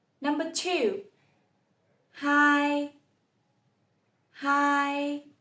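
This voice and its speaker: With music in the background, a woman speaks very slowly in a high pitch. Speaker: language teacher. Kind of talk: tutorial. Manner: slow, clear repetition.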